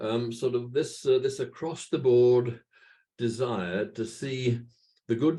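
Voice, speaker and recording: A man speaks very slowly with a Welsh accent. His tone is dark and mellow, and somewhat breathy. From Wales. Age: 80s+. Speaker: church patron and minister. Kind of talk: talk to a virtual meeting. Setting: video call. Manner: halting.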